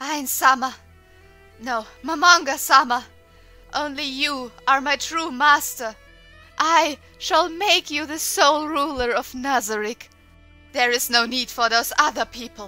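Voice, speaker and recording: A female-sounding, put-on character voice speaks breathily at a high pitch and a fairly slow pace. Long, frequent pauses break it up, with faint music in the background. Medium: audio drama. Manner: breathy, moist, adoring.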